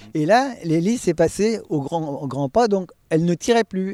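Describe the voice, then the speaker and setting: This man speaks at a moderate pace in a dark, mellow tone with lively intonation, and the sound is dry and close with no echo. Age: 70s. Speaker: veteran private pilot. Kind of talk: storytelling interview.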